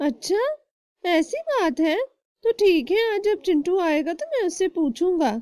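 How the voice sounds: In a cartoonish character voice, the speaker talks at an extremely high pitch and a moderate pace.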